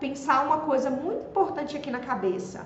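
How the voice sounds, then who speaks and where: There is audible room echo and noticeable background noise. Through it, a woman speaks at a high pitch. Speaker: social media marketing coach. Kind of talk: live stream talk.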